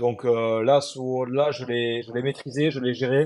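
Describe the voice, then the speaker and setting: A plain, everyday voice from a man, medium in pitch, with fairly even intonation. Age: 20s. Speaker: adaptive CrossFit athlete. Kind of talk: interview.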